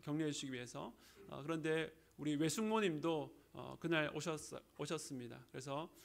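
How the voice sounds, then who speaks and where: A man speaks with a slight Gyeongsang accent. His pace is moderate. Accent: slight Gyeongsang, little dialect. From Busan, South Korea. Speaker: pastor. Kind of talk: sermon. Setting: church.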